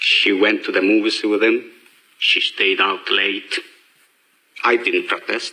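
With little sound in the background, a man delivers his words fairly slowly. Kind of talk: dramatic film monologue. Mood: sorrowful, restrained.

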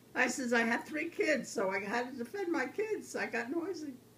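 Her pitch swings very widely. The woman speaks at a fairly slow pace over light background noise. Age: 80s+. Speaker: grandmother. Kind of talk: interview answer. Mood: reflective, warm. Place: kitchen. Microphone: phone near.

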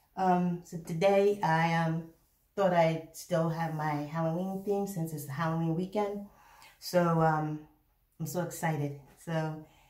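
A woman talks fairly slowly with a fairly low pitch. Audible room echo surrounds her voice. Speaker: mukbang vlogger. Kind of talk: casual vlog chat.

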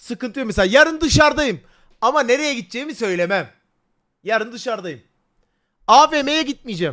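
A man shouts loudly at an extremely high pitch, his tone animated, bright and sharp. His intonation is lively and his pace moderate. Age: 20s. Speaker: livestreamer. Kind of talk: casual livestream chat. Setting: livestream. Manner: loud, almost shouting.

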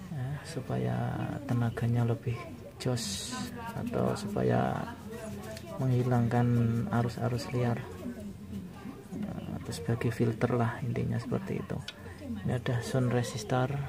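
Fairly slow speech with long, frequent pauses and clear music in the background. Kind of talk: tutorial. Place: home room. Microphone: phone near.

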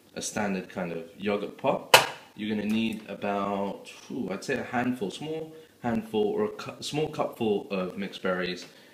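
A man speaks at a moderate pace and a fairly low pitch, with ordinary pitch variation. Audible room echo and light background noise surround him. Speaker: home cook vlogger. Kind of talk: tutorial. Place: kitchen. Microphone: phone near.

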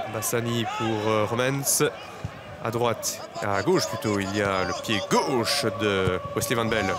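Over music in the background, a man speaks at a very slow pace, with medium pitch and ordinary pitch variation. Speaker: football commentator. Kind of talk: live football commentary, play-by-play over highlights, goal calls.

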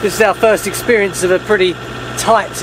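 A man's voice sounds dry with no echo, against noticeable background noise. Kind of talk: casual vlog chat. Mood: relaxed and happy. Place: boat.

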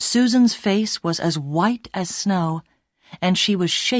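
Natural-voiced reading aloud, set against a quiet background

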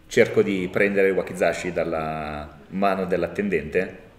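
There is audible room echo around this man's fairly low-pitched voice. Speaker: tabletop role-playing game player. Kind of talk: live actual-play role-playing session. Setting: live event at a gaming convention, filmed. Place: home room.

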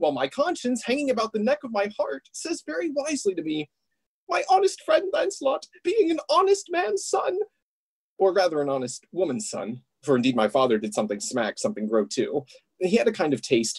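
The voice is a put-on character voice. Its pace is fairly quick. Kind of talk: comic Shakespearean clowning. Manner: playful, rambling, comic.

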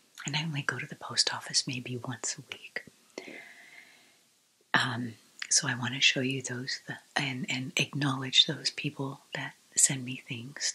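Soft-spoken and with a gentle tone, a woman with a very deep, low pitch speaks in a monotone, flat way at a fairly slow pace, leaving long, frequent pauses. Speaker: vlogger. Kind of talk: casual vlog chat. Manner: soft-spoken, gentle, close-mic murmur.

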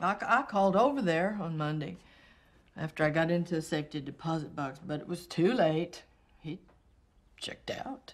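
A woman talks at a fairly low pitch and a moderate pace, with long, frequent pauses. Her intonation is lively and her loudness swings widely. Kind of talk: dramatic film dialogue, heated argument. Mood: bitter, defiant, rising anger. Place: home room.

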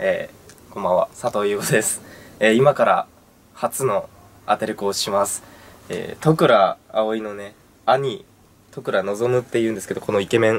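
A man talks at a fairly slow pace. His loudness rises and falls by large amounts. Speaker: first-time voice actor. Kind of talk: casual greeting to camera. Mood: nervous but cheerful. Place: booth. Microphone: camera far.

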